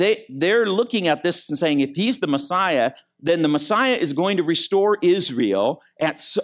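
Speaking at a moderate pace with an American accent, a high-pitched man uses lively intonation in a very clean recording with a silent background. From Michigan. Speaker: pastor. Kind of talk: sermon. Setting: church.

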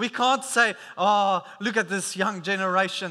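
A man with a raised, projected voice speaks at a moderate pace, his tone bright and sharp and his pitch high. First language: not English; English is third language. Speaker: preacher. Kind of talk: sermon. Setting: church service. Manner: halting, many fillers and repeats.

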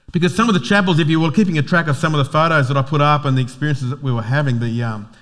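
A man with an Australian accent talks at a very fast pace. His pitch is fairly high, with ordinary pitch variation. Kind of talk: sermon.

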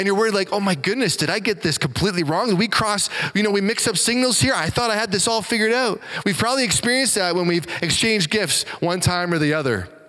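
Over noticeable background noise, a man with a high pitch talks at a very fast pace in a raised, projected voice of very even loudness. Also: ordinary pitch variation. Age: 30s. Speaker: pastor. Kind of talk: sermon. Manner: casual, conversational with filler words.

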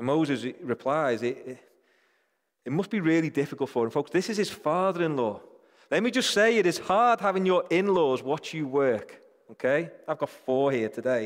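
A man with a British accent and very wide pitch swings, in a very clean recording over a silent background. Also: fairly high pitch for a man, moderate pace. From Britain. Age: 40s. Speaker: church leader, preacher. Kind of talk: sermon.

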